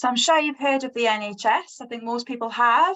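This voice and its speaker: At a fairly quick pace, a woman talks with an English accent. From England. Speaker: nursing professor. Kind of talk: panel discussion.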